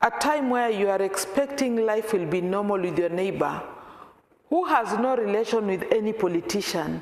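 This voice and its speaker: A woman talks at a moderate pace with lively intonation and a fairly high pitch. Audible room echo is present. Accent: Kenyan. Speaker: peace worker and programs officer. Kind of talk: talk to a church congregation. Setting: church meeting, some on video call.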